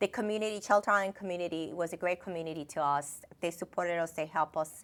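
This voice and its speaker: A woman's medium-pitched voice in a Dominican accent, bright and sharp in tone, with ordinary pitch variation and a very fast pace. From Dominican Republic. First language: Spanish. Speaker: finance executive. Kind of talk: interview. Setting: TV studio. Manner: halting.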